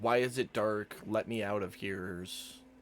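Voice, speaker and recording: A man puts on a character voice, pitched fairly low, with fairly even intonation. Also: moderate pace. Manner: panicked, pleading.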